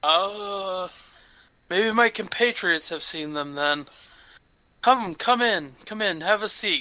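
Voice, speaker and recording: A man uses a put-on character voice, high in pitch, at a fairly slow pace with long, frequent pauses. The recording is very clean, with a silent background. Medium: actual play. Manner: slow, doddering.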